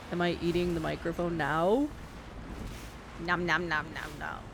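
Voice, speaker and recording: Noticeable background noise sits behind a woman who is soft-spoken. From New York City. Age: 40s. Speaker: game streamer. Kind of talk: live gameplay commentary. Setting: live stream. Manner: casual, chatty.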